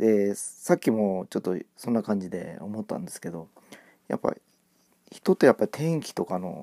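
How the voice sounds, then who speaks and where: This man has a fairly low pitch and a dark, mellow tone, with big swings in loudness. The sound is dry and close, with no echo. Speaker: amateur podcaster. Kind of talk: casual monologue. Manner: halting, many fillers; fast at times.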